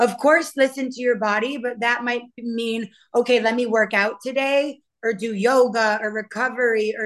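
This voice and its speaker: A woman with an American accent speaks at a high pitch and a moderate pace, with fairly even intonation. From Maine, US. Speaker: Brazilian jiu-jitsu champion and strength coach. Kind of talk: casual interview chat.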